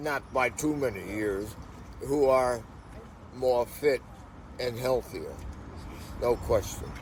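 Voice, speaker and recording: Speaking at a very slow pace with long, frequent pauses, the somewhat breathy voice keeps a fairly even intonation. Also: man, medium pitch for a man. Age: 80s+. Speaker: veteran hash runner interviewed. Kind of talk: casual interview chat. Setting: on location in Portugal, sunny.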